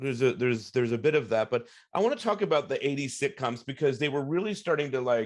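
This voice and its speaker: A fairly high-pitched man with an American accent, very fast pace and lively intonation. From Long Island, New York. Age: 40s. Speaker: podcast host. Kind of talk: interview. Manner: casual.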